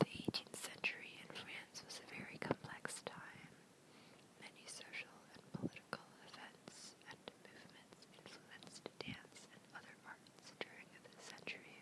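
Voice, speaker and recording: A woman whispers, her loudness swinging widely. Noticeable background noise sits behind her. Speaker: ASMR creator, college student. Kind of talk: whispered textbook reading. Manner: whispered, soft-spoken.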